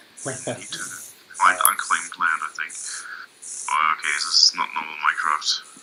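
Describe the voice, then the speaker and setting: Long pauses come often as this man speaks, with noticeable noise in the background. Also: moderate pace. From Germany, Essen. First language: German. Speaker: gamer. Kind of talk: casual chat. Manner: halting.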